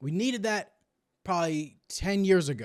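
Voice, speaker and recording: A plain, everyday voice from a man, lively in intonation, at a moderate pace, on a very clean recording with a silent background. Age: 20s. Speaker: reaction streamer. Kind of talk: video reaction commentary. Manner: casual.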